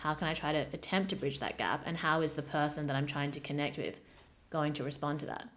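A woman talks at a very fast pace in a very deep, low voice. Her intonation is monotone and flat. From Australia, Perth suburbs. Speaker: podcast host. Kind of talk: casual chat.

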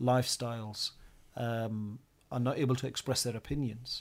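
A man with a West Yorkshire accent speaks at a moderate pace in a medium pitch, his intonation fairly even. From Bradford, northern England. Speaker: science teacher. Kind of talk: podcast discussion.

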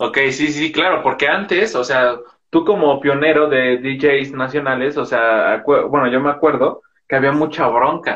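A man has a normal speaking voice, pitched fairly high, with fairly even intonation. He talks at a fairly slow pace. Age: young. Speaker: podcast host. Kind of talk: casual interview.

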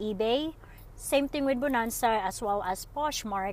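A woman with a fairly high pitch talks fairly slowly, her pitch varying in an ordinary way. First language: not English. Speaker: solo podcaster and online seller. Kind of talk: casual solo monologue. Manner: unscripted, with many fillers.

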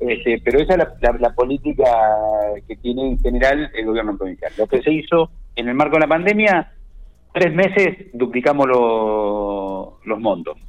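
At a moderate pace, a man talks with a fairly high pitch and very wide swings in it. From La Pampa, Argentina. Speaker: provincial government minister. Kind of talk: radio interview. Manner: halting, with frequent fillers.

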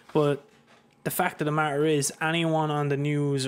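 In an Irish accent, a man speaks at a moderate pace. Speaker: podcast host. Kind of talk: casual chat. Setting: studio.

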